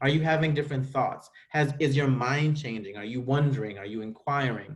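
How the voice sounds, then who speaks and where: A man speaks in a fairly high pitch, somewhat breathy, with an American accent. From US Virgin Islands. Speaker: school administrator. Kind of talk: virtual school presentation. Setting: video call.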